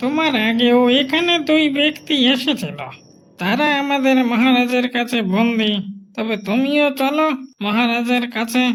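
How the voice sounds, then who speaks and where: A man uses a cartoonish character voice with an extremely high pitch and ordinary pitch variation. He keeps his loudness very even and his pace fairly slow. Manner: authoritative, suspicious.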